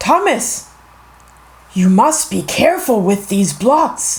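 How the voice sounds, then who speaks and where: Putting on a character voice, a man speaks fairly slowly and high, his pitch swinging very widely. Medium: read story. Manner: commanding.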